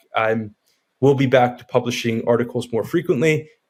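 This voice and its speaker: A slight New York accent with fairly even intonation. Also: man. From New York area, US. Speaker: real estate developer and writer. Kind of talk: interview.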